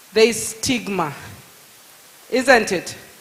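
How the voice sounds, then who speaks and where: This woman speaks very slowly in a fairly high voice, with noticeable noise in the background. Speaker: lawyer. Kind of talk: public talk. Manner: animated.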